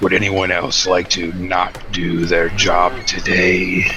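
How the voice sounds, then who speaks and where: A man puts on a character voice, very deep and low, at a fairly slow pace. Background noise is clear. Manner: cold, menacing, controlled.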